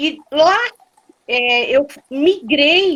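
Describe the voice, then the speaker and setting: A woman is speaking. Her intonation is lively. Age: 60s. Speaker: librarian, journalist and theatre actress. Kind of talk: casual interview chat.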